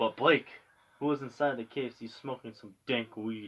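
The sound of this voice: The speaker reads. It is an unforced reading voice.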